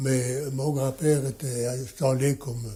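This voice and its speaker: In a somewhat breathy, dark, mellow voice, a man speaks at medium pitch. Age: 80s+. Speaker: watchmaker. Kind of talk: interview answer.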